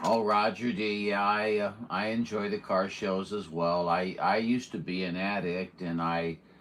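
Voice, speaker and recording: An unremarkable speaking voice moves at a moderate pace with fairly even intonation and hardly any pauses. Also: man, fairly low pitch for a man. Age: 60s. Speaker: CB radio operator. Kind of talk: radio chat. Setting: radio transmission.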